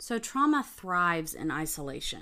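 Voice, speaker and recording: A woman with a fairly low pitch speaks at a moderate pace with lively intonation, in a normal speaking voice. The recording is very clean, with a silent background. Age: 30s. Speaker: wellness practitioner. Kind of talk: interview.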